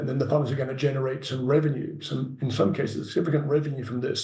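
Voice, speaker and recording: Recorded with audible room echo and noticeable background noise, a man speaks with an English accent. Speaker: carbon farming project developer. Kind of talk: Q&A answer in an online meeting.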